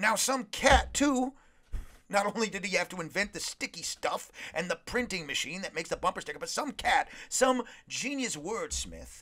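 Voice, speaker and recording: A man speaks at a moderate pace in a raised, projected voice with a high pitch. His tone is bright and sharp, and his intonation is lively. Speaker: podcast host. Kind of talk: casual motivational monologue. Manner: animated; sounds sarcastic.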